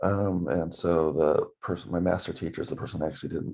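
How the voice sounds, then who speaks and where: A man speaks with a very deep, low pitch, a dark, mellow tone and vocal fry. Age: 50s. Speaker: student teacher. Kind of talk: self-introduction video for class. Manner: hesitant, many fillers.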